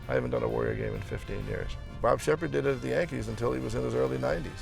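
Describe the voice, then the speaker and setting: A man talking very fast, with music in the background. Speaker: stadium public address announcer. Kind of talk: interview answer.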